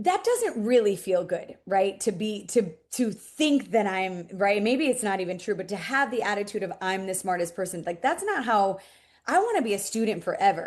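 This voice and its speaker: Medium-pitched female speech at a moderate pace, ordinary in its pitch variation, a normal speaking voice. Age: 40s. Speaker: interior design business owner. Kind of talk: casual interview. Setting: podcast interview.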